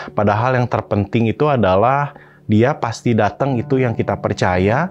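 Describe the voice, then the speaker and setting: Faint music sounds in the background. Over it, a man talks. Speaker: pastor. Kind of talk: sermon. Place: studio. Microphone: phone near.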